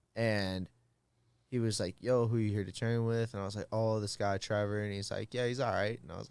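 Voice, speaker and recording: A man speaks at a fairly low pitch and a fairly quick pace, with a slight Midwestern accent. His intonation is flat and monotone, and the recording is very clean with a silent background. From Minnesota, US Midwest. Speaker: fighter. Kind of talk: casual chat. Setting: studio.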